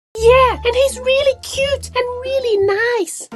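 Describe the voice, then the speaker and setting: A female-sounding cartoonish character voice, squeaky and pitched extremely high. She talks at a fairly slow pace. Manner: warm, gushing.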